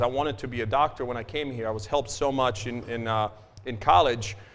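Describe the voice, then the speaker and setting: A man with a Croatian accent talks at a fairly quick pace and a medium pitch. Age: 40s. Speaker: financial advisor. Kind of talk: business talk to audience. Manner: casual, filler-heavy.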